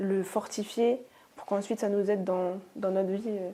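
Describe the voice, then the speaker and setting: At a medium pitch and a fairly slow pace, a woman speaks in a monotone, flat intonation with a dark, mellow tone. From Normandy, France (rural, near Caen). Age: 20s. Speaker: osteopath, interview guest. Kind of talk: testimony interview. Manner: hesitant, many fillers.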